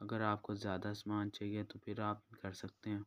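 A man's fairly low, clear, smooth voice, monotone and flat, at a moderate pace, with a dry, close sound and no echo

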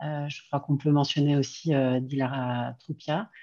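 The voice is dark and mellow, moving at a very slow pace with ordinary pitch variation against a quiet background. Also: woman. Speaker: foundation representative. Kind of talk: closing remarks. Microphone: video call.

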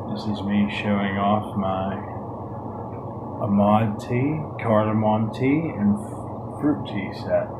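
Over noticeable background noise, a man speaks at a very slow pace with long, frequent pauses. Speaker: unboxing host. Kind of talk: ASMR unboxing and tea tasting video. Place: home room. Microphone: phone near.

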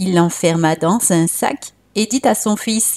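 A warm, soothing, dark and mellow tone with lively intonation, a very slow pace, and a dry, close sound with no echo. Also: woman. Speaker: storyteller. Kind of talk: bedtime storytelling, guided relaxation intro then folk tale narration. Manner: soothing, calm, gentle; warm, inviting.

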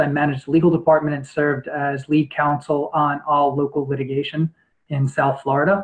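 Fairly high-pitched and somewhat breathy, a man talks at a fairly quick pace. The background is quiet. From New York. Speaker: lawyer and judicial candidate; candidate. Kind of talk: interview answers. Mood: calm, formal. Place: home room. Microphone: webcam.

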